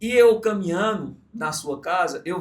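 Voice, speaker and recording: The speaker is a man. His pitch rises and falls by an ordinary amount. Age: 30s. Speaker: podcast host, entrepreneur. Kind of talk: interview podcast. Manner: casual, reflective storytelling.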